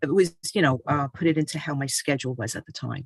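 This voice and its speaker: At a moderate pace, a woman talks with ordinary pitch variation in a dry, close sound with no echo. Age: 60s. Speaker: author and health speaker. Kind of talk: personal testimony talk. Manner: hesitant with many fillers.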